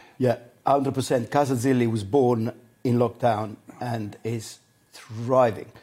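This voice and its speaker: A man's medium-pitched, dark, mellow voice, monotone and flat, at a very slow pace. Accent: Italian. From Italy, Adriatic coast. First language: Italian. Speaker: celebrity chef. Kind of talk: casual chat over a meal.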